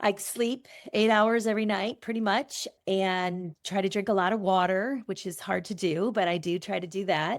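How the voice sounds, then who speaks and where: This woman has an unremarkable speaking voice at a medium pitch, with ordinary pitch variation. She talks at a moderate pace with hardly any pauses, in a very clean recording with a silent background. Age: 60s. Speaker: event business owner. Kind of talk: interview conversation.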